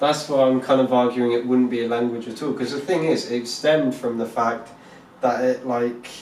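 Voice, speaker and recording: With a Southeast English accent, a man talks at a medium pitch in a monotone, flat intonation, amid noticeable background noise and audible room echo. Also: moderate pace. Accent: Southeast England. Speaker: podcast co-host. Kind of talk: casual chat. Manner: halting.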